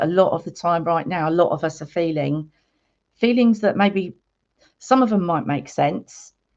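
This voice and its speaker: At a fairly quick pace, a woman with an English accent speaks in a fairly low pitch with ordinary pitch variation over a quiet background. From England. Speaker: spiritual healer and meditation guide. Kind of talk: live stream chat with viewers. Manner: casual, chatty.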